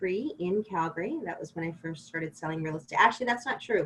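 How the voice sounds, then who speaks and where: This woman talks at a very fast pace in a Western Canadian accent. Her intonation is lively. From Ontario, Canada. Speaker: realtor. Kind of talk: podcast interview.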